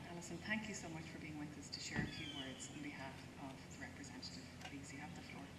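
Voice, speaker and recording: A woman rushes through her words at a very fast pace despite loud background noise. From Ireland. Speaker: diplomat. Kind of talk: ceremonial speech. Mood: somber, respectful. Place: open country. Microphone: podium.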